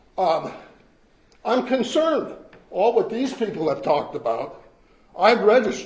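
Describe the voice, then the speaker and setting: Lively intonation carries a fairly slow delivery, with audible room echo around the voice. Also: man. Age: 70s. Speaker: retired resident speaking at public comment. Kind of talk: public comment at council meeting. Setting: council meeting room. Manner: blunt, emphatic.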